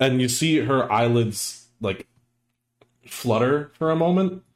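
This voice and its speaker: A man speaks with lively intonation. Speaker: Dungeon Master. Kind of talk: tabletop roleplaying game session.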